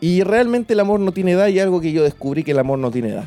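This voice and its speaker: A man's very fast, high, dark, mellow voice with lively intonation, in a Chilean accent. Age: 20s. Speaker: podcast host. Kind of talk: personal storytelling. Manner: casual, slangy.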